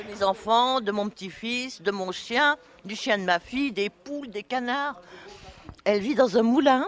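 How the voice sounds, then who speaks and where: Noticeable background noise sits under a woman's fairly high voice. She talks at a fairly slow pace with ordinary pitch variation. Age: 70s. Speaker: retiree interviewed on community radio. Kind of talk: casual radio interview. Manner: chatty.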